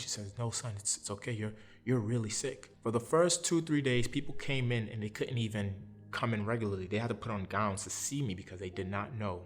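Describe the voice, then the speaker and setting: A man with a New York accent, fairly low in pitch with ordinary variation, talking very fast over background music. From Brooklyn, New York. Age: 30s. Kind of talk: interview answer. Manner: conversational, personal storytelling.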